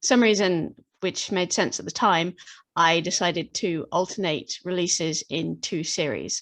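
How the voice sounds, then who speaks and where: A woman in a British accent, fairly low in pitch with ordinary variation, at a fairly slow pace against a quiet background. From Britain. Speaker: fantasy author. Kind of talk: interview. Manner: halting.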